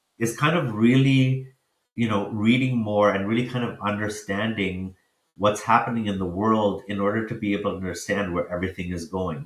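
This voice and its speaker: This man has an unremarkable speaking voice with a fairly low pitch. He keeps a moderate pace and ordinary pitch variation. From Africa, then Canada from childhood. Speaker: impact investor. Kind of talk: podcast interview.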